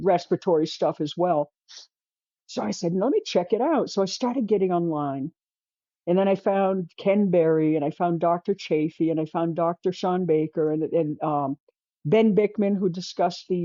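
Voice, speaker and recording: At a moderate pace, a woman with an ordinary speaking voice talks at a fairly low pitch with ordinary pitch variation. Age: 60s. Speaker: artist sharing diet journey. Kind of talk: interview.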